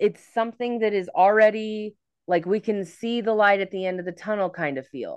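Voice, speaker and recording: With an unremarkable speaking voice, a woman talks at a fairly slow pace and medium pitch over a quiet background. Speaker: psychic medium and tarot reader. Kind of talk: casual astrology forecast chat.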